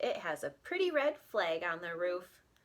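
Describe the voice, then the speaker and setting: In a put-on character voice, a woman talks at a medium pitch and moderate pace. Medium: read story. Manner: eager, good-natured.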